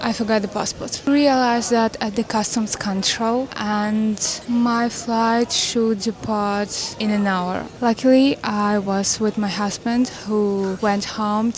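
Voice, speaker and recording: Over noticeable background noise, a woman speaks at a fairly high pitch in a monotone, flat intonation. Her pace is very slow, yet she hardly pauses. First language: not English. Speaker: travel vlogger. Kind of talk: vlog narration.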